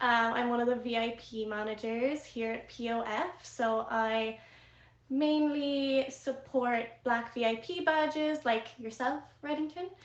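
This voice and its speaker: A woman with a high pitch speaks fairly slowly, her pitch varying in an ordinary way. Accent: slight Irish. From Ireland. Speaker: live streaming platform VIP manager. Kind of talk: casual chat on live stream.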